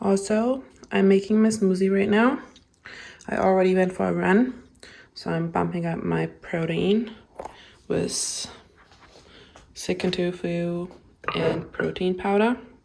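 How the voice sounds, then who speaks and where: Medium-pitched woman's voice, dark and mellow, with fairly even intonation and long, frequent pauses. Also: fairly slow pace. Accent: German. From Germany. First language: German. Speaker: vlogger. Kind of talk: casual vlog narration. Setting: in a car.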